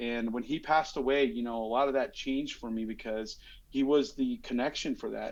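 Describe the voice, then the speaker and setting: This man has an American accent and a fairly high pitch. He talks at a fairly quick pace. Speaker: police commander and comedian. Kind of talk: podcast interview.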